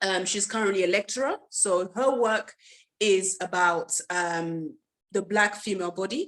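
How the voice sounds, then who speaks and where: Fairly slow, medium-pitched speech from a woman, her pitch varying in an ordinary way. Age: 20s. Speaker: artist and charity founder. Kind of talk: presentation. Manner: halting, many fillers.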